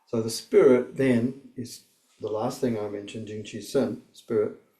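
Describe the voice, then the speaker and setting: Somewhat breathy, with a dark, mellow tone, the voice proceeds at a fairly slow pace. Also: man. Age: 60s. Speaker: martial arts teacher. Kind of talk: instructional talk. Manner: hesitant, many fillers.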